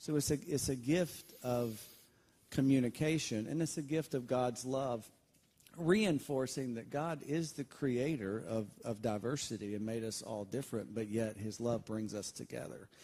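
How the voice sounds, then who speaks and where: In a Southern US accent, a man talks at a moderate pace with a medium pitch. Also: ordinary pitch variation. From Alabama. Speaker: pastor. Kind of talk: interview. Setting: church.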